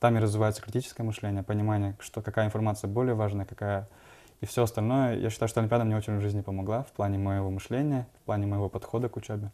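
A man's fairly low, very fast voice with monotone, flat intonation. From Kokshetau, Kazakhstan. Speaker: entrepreneur, guest. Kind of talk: TV interview. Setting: studio. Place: studio. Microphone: lapel.

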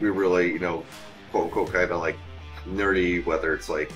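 A man is talking while faint music sounds in the background. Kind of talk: interview answer. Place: bar.

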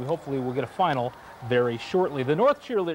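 Over noticeable background noise, a man speaks at a very fast pace in an animated tone with very wide pitch swings. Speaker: sports highlights anchor. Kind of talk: live play-by-play sports commentary voiceover over game highlights. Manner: animated, quick, punchy play-by-play calls; playful, joking banter between segments.

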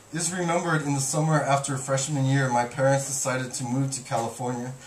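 Amid light background noise and audible room echo, a man talks at a moderate pace with fairly even intonation. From Guam. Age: 30s. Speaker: poet. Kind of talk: poetry reading. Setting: bookstore reading with audience. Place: shop. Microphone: camera far.

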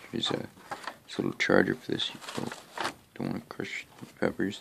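The voice is quiet. It carries vocal fry. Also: man. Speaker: home gardening vlogger. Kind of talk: casual video tour. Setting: at home at night. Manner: speaking low, quiet; hesitant, many fillers. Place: home room. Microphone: phone near.

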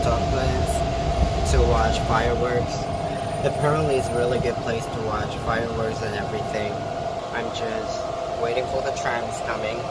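Loud background noise runs beneath a man talking at a fairly slow pace. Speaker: working holiday vlogger. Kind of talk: casual vlog chat. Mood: relaxed, slightly anxious. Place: street. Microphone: phone near.

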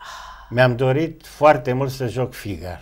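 In a quiet setting, a man with a medium-pitched, somewhat breathy voice talks at a fairly slow pace with ordinary pitch variation. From Romania. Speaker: actor. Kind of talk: interview. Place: studio. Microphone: lapel.

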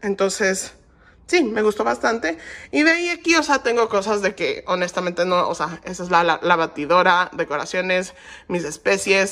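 The tone is bright and sharp. Its intonation is lively. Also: woman, medium pitch for a woman, moderate pace. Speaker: lifestyle vlogger. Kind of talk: vlog apartment tour. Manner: casual, filler-heavy.

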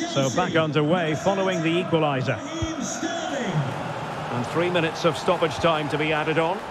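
A man talks at a moderate pace in a high voice, with ordinary pitch variation and very even loudness. Music plays behind him. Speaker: football commentator. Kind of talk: live football commentary, game-style play-by-play.

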